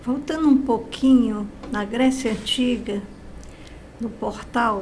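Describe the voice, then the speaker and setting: Very slow speech from a woman with a fairly high pitch, in audible room echo. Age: 80s+. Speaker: guest speaker on positive thinking. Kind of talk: interview testimony.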